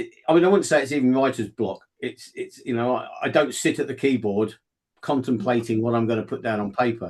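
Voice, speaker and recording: Speaking in a southern English accent, a man keeps a fairly quick pace and a medium pitch with ordinary pitch variation. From southeast England. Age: 60s. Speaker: fiction author. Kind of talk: interview. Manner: halting, many repetitions.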